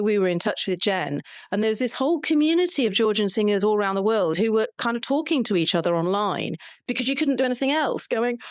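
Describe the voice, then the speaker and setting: A woman with an unremarkable speaking voice, medium pitch and lively intonation at a fairly quick pace, in a very clean recording with a silent background. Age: 60s. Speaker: podcast co-host and folk singer. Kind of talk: interview.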